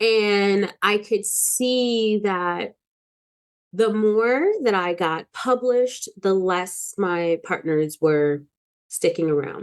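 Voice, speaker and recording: Over a quiet background, a woman at medium pitch speaks very slowly with lively intonation and very even loudness. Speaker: wellness teacher and vlogger. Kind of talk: personal vlog monologue. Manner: casual, with many fillers.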